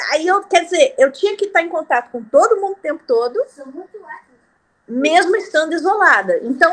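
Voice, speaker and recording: At a moderate pace, the voice makes very wide pitch swings, broken by long, frequent pauses. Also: woman, extremely high pitch for a woman. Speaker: music teacher and band conductor. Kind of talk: group discussion in a reading club.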